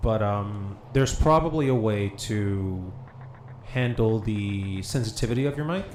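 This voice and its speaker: A man's voice carries audible room echo along with noticeable background noise. His pitch variation is ordinary. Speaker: gaming streamer. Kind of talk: casual chat. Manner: loud. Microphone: echo picked up via co-host's mic.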